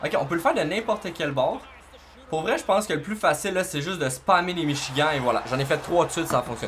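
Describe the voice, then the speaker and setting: A man talks at a very fast pace with lively intonation and high pitch. Light background noise sits behind him. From Quebec. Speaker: gaming YouTuber; gaming tutorial creator. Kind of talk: gameplay tutorial; tutorial. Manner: casual, hesitant with fillers. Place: home room.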